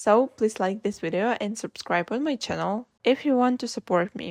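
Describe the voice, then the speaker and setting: Against a quiet background, a woman with a non-native accent speaks at a moderate pace, her fairly high pitch showing ordinary variation in a dry, close sound with no echo. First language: not English. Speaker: vlogger. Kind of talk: reflective monologue.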